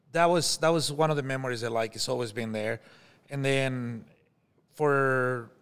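A man with a Mexican accent and fairly even intonation. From Mexico. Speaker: chef. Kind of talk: casual chat.

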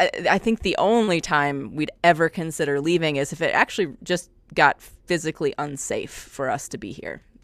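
With lively intonation and a moderate pace, an ordinary speaking voice comes through in a dry, close sound with no echo. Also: woman. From US Midwest. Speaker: music professor. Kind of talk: casual chat.

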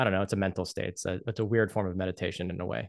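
A man is speaking. The background is quiet. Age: 30s. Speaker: video game composer. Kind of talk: interview.

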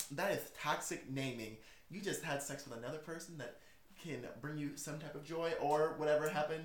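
Over audible room echo, a man with a fairly high pitch talks at a fairly quick pace. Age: 20s. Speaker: podcast host. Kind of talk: casual chat. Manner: animated.

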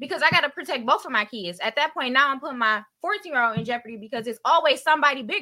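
A woman's high, bright, sharp voice, raised and projected, racing at a very fast pace with hardly any pauses and lively intonation. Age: 30s. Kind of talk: casual chat.

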